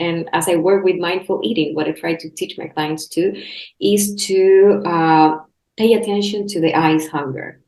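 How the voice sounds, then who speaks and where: A woman with a Spanish accent talks at a medium pitch. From Chile. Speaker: health coach and podcast host. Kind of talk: casual interview chat. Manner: halting, many restarts.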